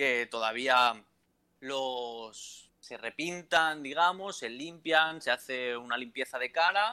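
A man's bright, sharp voice at a medium pitch, with ordinary pitch variation, in a very clean recording with a silent background. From Valencia, Spain. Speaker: entrepreneur. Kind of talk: casual interview.

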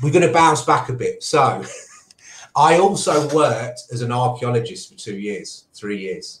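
Somewhat breathy and fairly high in pitch, a man speaks with lively intonation. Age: 30s. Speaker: digital media entrepreneur. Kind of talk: casual interview.

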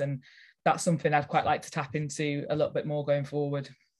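Somewhat breathy, very fast speech in a Lancashire accent, monotone and flat in intonation, against a quiet background. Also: woman. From northern England, Lancashire. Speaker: nature retreat and events organiser. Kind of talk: casual interview.

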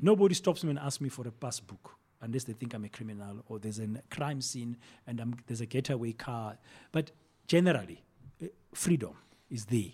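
A man with a somewhat breathy, dark, mellow voice at medium pitch talks at a fairly quick pace, his lively intonation broken by long, frequent pauses. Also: big swings in loudness. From South Africa, Soweto. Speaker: broadcaster and communications executive. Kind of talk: interview conversation.

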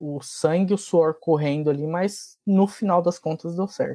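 Dark and mellow in tone, the voice moves at a very slow pace with ordinary pitch variation. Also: man. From Francisco Morato, São Paulo state, Brazil. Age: 30s. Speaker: RPA tech lead. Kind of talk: casual chat.

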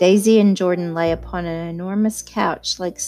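The speaker uses a natural reading voice, keeping the intonation fairly even.

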